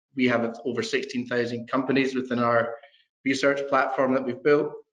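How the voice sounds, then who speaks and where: A man talks in a Scottish accent. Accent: Scottish, still noticeable. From Scotland. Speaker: proptech company founder. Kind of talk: interview.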